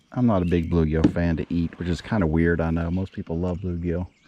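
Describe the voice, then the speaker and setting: A man speaks with a very deep, low pitch. The sound is dry and close with no echo, over noticeable background noise. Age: 60s. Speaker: fishing vlogger. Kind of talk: casual outdoor vlog commentary. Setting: outdoors on a lake in a kayak. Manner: animated.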